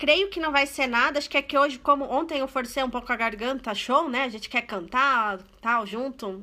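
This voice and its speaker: A woman's high, bright, sharp voice, raised and projected, animated in tone at a fairly quick pace. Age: 30s. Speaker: online religious presenter. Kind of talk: live stream prayer talk. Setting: live stream from home.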